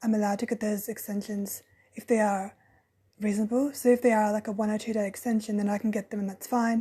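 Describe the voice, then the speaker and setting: Her speech very fast, a woman uses a fairly high pitch, a dark, mellow tone and a somewhat breathy quality, with monotone, flat intonation. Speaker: podcast host; early childhood education student. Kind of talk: casual podcast talk.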